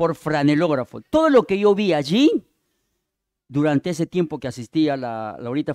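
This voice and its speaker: A man speaks with a Peruvian accent. The recording is very clean with a silent background, and the sound is dry and close with no echo. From Peruvian Amazon (Yurimaguas, Pucallpa), then Lima from 14. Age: 60s. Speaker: visiting preacher. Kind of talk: sermon.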